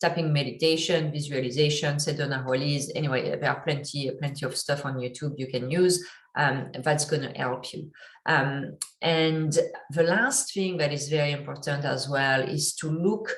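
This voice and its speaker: A woman with a strong French accent speaks at a moderate pace in a very deep, low pitch with fairly even intonation. Her voice is somewhat breathy, with audible room echo. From French-speaking country, immigrant. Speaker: entrepreneur and investor teaching online course. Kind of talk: online course lecture. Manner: halting with many fillers.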